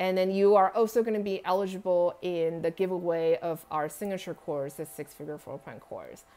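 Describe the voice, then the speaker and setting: A woman at a medium pitch and moderate pace, dark and mellow in tone, with big swings in loudness, on a very clean recording with a silent background. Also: ordinary pitch variation, hardly any pauses. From Taiwan. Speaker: home staging coach. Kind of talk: live stream teaching with viewer Q&A. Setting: live stream. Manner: tongue-tied, halting.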